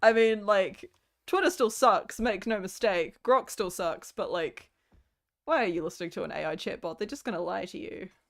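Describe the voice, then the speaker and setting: Over a silent background in a very clean recording, a woman's voice moves through very wide pitch swings and big swings in loudness. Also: fairly high pitch for a woman, moderate pace. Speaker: vtuber streamer. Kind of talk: casual livestream chat. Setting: home. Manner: animated.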